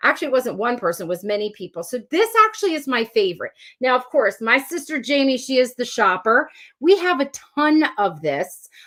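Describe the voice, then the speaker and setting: A woman with a New Jersey accent talks at a high pitch and a fairly quick pace. Her animated tone carries very wide pitch swings. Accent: New Jersey (Philadelphia area) American. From South Jersey, US. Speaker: elementary school teacher and YouTuber. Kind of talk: live-stream Q&A, casual chat.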